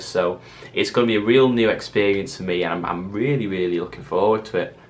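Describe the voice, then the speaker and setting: Here a man speaks with a Mancunian accent at a fairly low pitch. His intonation stays fairly even. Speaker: vlogger. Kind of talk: casual vlog monologue. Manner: fast.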